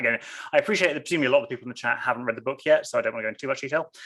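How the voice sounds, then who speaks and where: A man is speaking. He has an English accent. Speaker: novelist. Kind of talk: author interview. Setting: video call. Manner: fast.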